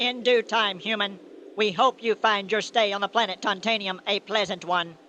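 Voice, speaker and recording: A put-on character voice at a fairly high pitch goes at a moderate pace against a quiet background. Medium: old radio play. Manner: stiff, formal, monotone commands.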